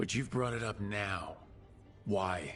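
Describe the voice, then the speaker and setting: A man uses a put-on character voice with a growl at a fairly low pitch. Clear background noise can be heard. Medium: video game. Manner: direct, questioning.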